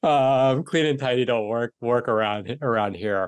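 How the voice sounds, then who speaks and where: Speaking in an American accent, the man lets his pitch vary in an ordinary way. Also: quiet background. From US, New York City. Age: 40s. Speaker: coach and content creator. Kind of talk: casual interview chat. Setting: remote call. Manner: chatty.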